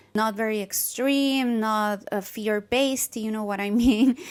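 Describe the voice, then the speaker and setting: A woman talks with a Spanish accent and fairly even intonation. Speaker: holistic nutritionist. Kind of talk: casual talk to camera.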